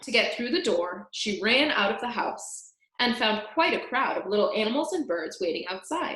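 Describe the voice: The clip is plain reading aloud with little sound behind it.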